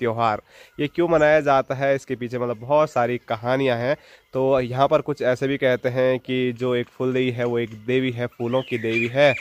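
A man at a fairly slow pace, with monotone, flat intonation. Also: dry sound with no echo. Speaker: village vlogger. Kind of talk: casual vlog chat. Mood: cheerful, smiling. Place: street. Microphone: phone near.

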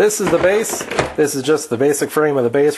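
Ordinary pitch variation from a male speaker. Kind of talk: casual tutorial chat. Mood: joking, playful. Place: garage.

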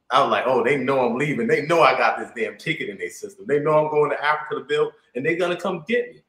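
A man speaks in an animated tone. Room echo can be heard. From United States. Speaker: livestream host. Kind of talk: casual chat. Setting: video call. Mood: amused, lively. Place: home room. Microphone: video call.

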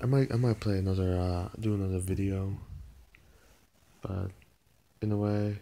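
Soft-spoken and fairly low in pitch, a man talks at a moderate pace with monotone, flat intonation and a dark, mellow tone. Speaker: video blogger. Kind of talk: casual vlog talk. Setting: at home, mother's place. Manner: soft-spoken, talking quietly; halting, repeats words. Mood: mildly lamenting, relaxed. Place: home room. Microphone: phone near.

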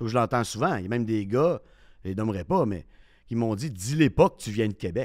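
A man with a medium pitch speaks at a fairly quick pace in an unremarkable speaking voice, with lively intonation and big swings in loudness. The recording is very clean, with a silent background. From Quebec City. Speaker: sports radio host. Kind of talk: casual chat.

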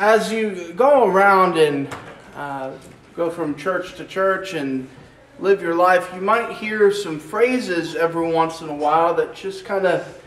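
Amid audible room echo, a high-voiced man talks fairly slowly with ordinary pitch variation. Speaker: preacher. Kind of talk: sermon. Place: church.

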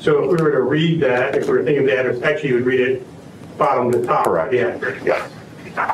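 A man talks very fast while noticeable background noise runs underneath. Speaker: prosecutor. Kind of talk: courtroom witness examination. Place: hall. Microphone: camera far.

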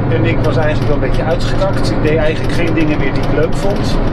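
A voice with ordinary pitch variation comes through over loud background noise. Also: man. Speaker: interviewee. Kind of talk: interview answer. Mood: reflective, personal story. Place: bus. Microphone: camera far.

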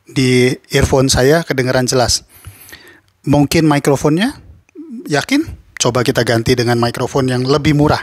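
At a moderate pace, a man speaks at medium pitch with fairly even intonation. His loudness stays very even. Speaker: YouTuber reviewing audio gear. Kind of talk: tutorial.

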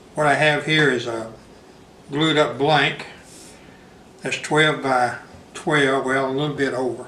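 A man speaks at a fairly slow pace in a Southern US accent, his pitch fairly high. His delivery is monotone, with flat intonation. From Southern United States. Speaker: woodturner. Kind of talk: tutorial talk to camera. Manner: casual.

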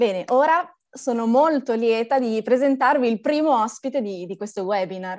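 A woman with a plain, everyday voice talks at a moderate pace with lively intonation and fairly high pitch over a quiet background. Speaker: climate activist presenter. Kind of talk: formal introduction. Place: home room. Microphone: video call.

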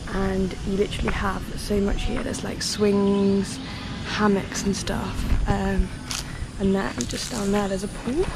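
Woman at a fairly slow pace, dry sound with no echo, music playing behind her. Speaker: solo backpacker vlogger. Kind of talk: casual vlog chat. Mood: relaxed, upbeat. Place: garden. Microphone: phone near.

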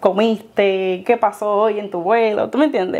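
The woman speaking has a fairly high pitch. Her pitch variation is ordinary. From Puerto Rico, Dominican parents. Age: young. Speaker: former flight attendant, airport gate agent; guest. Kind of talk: interview. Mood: warm, smiling, reflective. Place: home room. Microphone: lapel.

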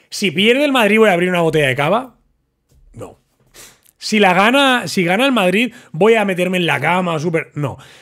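An animated, high-pitched man's voice with lively intonation against a quiet background. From Barcelona, Spain. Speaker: football commentator YouTuber. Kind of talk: casual monologue to camera. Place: studio. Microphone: studio mic.

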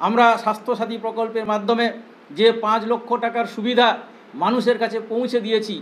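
A man talks in an extremely high voice with monotone, flat intonation. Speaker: party spokesman. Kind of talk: press statement. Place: meeting room.

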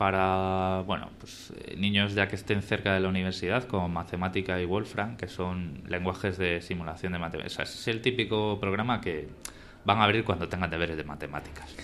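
An ordinary speaking voice from a man, fairly low in pitch, at a moderate pace with light background noise. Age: 30s. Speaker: podcast host. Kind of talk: live podcast conversation. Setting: live event with audience. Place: hall.

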